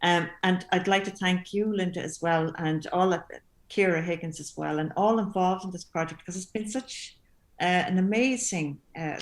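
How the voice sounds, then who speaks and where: Speaking at a moderate pace, a woman with a Limerick accent uses a medium pitch. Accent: Irish, Limerick. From Limerick, Ireland. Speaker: composer. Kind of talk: panel discussion. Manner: halting.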